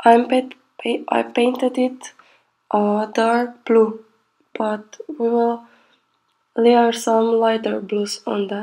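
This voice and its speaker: Quiet and fairly high-pitched, a woman speaks very slowly in a flat monotone, leaving long, frequent pauses. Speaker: pastel painting artist. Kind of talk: tutorial voiceover. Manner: quiet, sleepy-sounding.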